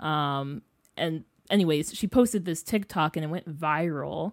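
A woman with an American accent and a fairly low pitch talks at a fairly slow pace on a very clean recording with a silent background. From northern Illinois. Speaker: journalism student. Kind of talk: interview.

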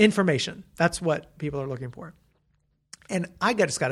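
Here a man speaks at a fairly high pitch with ordinary pitch variation. The recording is very clean, with a silent background. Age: 30s. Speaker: curriculum editor and author. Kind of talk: interview. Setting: office. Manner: halting, many restarts.

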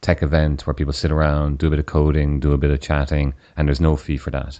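Very deep and low in pitch, a man with an Irish accent talks very fast in a dark, mellow tone. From Ireland. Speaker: podcast host, software engineer. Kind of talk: interview.

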